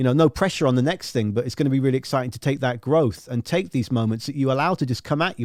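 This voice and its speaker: A man with a southern English accent races along at a very fast pace. His intonation is lively, and the sound is dry and close with no echo. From southern England. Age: 30s. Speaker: radio host and music journalist. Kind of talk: casual interview. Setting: live online video stream.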